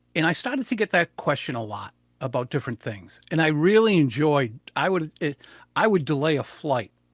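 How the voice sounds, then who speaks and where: Lively intonation comes through a dry, close sound with no echo, on a very clean recording with a silent background. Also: man. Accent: New England. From US Northeast, southern New England. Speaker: public speaking coach. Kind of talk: interview. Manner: fast; animated.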